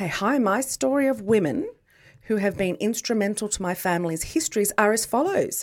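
Speaking at a fairly quick pace with lively intonation, a woman talks with an Australian accent. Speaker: podcast co-host. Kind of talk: casual chat. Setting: studio.

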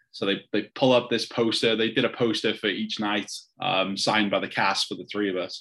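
Speaking fairly quickly with a North Welsh accent, a man keeps a flat, monotone line in a fairly low pitch and a bright, sharp tone. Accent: North Wales (Wrexham). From Wales, Wrexham. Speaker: football fan. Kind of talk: casual interview.

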